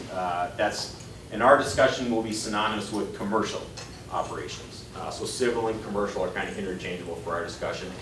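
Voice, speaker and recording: A man with an American accent, fairly low in pitch, talking very fast with fairly even intonation, amid audible room echo and noticeable background noise. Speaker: FAA aviation safety official giving a talk. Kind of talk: presentation to a meetup audience. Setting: restaurant meeting room, live audience. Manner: loud. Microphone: no microphone.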